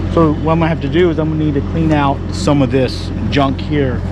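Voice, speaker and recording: At a fairly quick pace, a man talks over loud background noise in a dry recording with no echo. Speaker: channel host. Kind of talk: casual vlog chat. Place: open country. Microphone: phone near.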